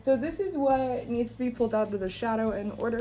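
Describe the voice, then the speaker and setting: A woman's fairly high voice at a fairly quick pace, with music in the background. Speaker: tarot reader. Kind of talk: tarot reading. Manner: halting, many fillers; fast.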